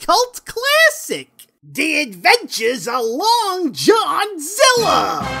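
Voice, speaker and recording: In a put-on character voice pitched extremely high, the speaker moves at a very slow pace with very wide pitch swings. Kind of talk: comic overacting, showbiz host patter. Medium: comedy sketch. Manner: brash, upbeat, wisecracking.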